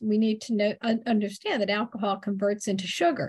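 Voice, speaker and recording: A woman speaks at a moderate pace in a fairly high pitch, her voice somewhat breathy. The background is quiet. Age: middle-aged. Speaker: podcast host. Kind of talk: interview.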